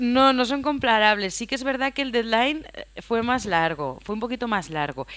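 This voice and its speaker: A woman speaks at a moderate pace with lively intonation and a fairly high pitch. Hers is a plain, everyday voice. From Spain, Aragón (Huesca). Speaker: film sound mixer. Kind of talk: interview.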